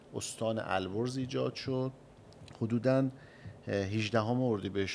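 An ordinary speaking voice moves at a fairly slow pace. Its pitch variation is ordinary. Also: man. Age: young. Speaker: chamber of commerce president. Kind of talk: radio interview. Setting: studio. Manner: formal.

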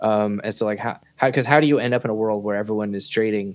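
Recorded very cleanly against a silent background, the speaker uses ordinary pitch variation with an American accent. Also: man. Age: 30s. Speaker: bitcoin software developer. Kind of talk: casual interview chat. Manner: halting, many fillers.

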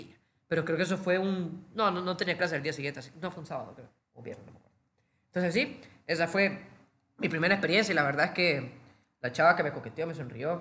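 Speaking very fast in a high voice, the man leaves long, frequent pauses, and his loudness swings widely. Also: ordinary pitch variation. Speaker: podcast co-host. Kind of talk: casual chat.

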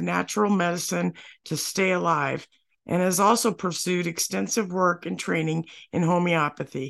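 Against a quiet background, a woman talks in a plain, everyday voice pitched fairly low. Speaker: podcast co-host. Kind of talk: scripted podcast hosting.

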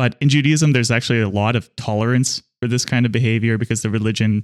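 At a very fast pace, a man with an American accent speaks at a medium pitch with fairly even intonation, in a very clean recording with a silent background and a dry, close sound with no echo. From Pittsburgh, Pennsylvania. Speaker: podcast co-host. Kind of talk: casual political discussion.

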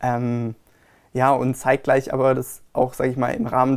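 At a moderate pace, a man talks at medium pitch. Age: 20s. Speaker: wedding fair organizer. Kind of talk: interview. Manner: hesitant, many fillers.

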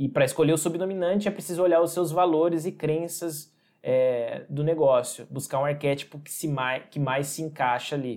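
In a very clean recording with a silent background, a man with an unremarkable speaking voice talks at a moderate pace, his fairly high pitch showing ordinary pitch variation. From interior of São Paulo state, Brazil. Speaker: designer and branding agency owner. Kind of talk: podcast interview.

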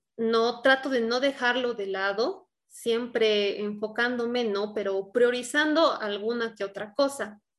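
An unremarkable speaking voice from a woman, fairly high in pitch, with ordinary pitch variation and a fairly slow pace. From Bolivia, La Paz. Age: 20s. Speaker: singer. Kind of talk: interview.

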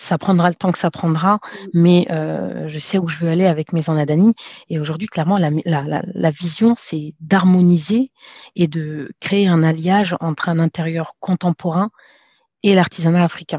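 Her voice is fairly low, with a dark, mellow tone and fairly even intonation. The woman's sound is dry and close, with no echo. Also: fairly slow pace. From France. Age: 30s. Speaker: entrepreneur. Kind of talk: interview.

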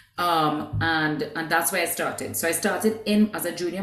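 A woman with a fairly low pitch speaks at a moderate pace with lively intonation. Noticeable background noise and audible room echo are present. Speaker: business executive. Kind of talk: interview.

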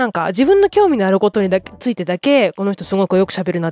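Talking at a very fast pace, a woman with a medium pitch uses lively intonation in a dry, close sound with no echo. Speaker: podcaster. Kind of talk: casual solo podcast talk. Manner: subdued, relaxed late-night talk.

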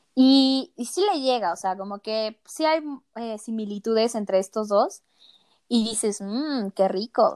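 A woman with a fairly high pitch and ordinary pitch variation, at a fairly slow pace, in a dry, close sound with no echo. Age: 20s. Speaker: podcast co-host, student. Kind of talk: casual chat. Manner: animated.

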